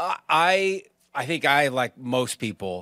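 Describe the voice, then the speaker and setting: A fairly high-pitched man in a very clean recording with a silent background. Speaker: morning TV news anchor. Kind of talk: casual sports chat. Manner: loud; energetic.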